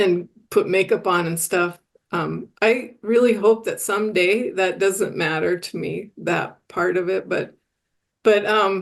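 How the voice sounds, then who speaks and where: Woman's medium-pitched voice with vocal fry, fairly even intonation and a fairly slow pace. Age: 60s. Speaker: recovery podcast guest. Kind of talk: casual chat. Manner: halting.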